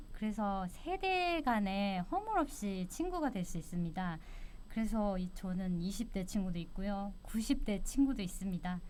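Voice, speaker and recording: At a fairly slow pace, a woman talks at a medium pitch in an ordinary speaking voice. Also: lively intonation. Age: 60s. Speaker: retiree. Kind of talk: interview.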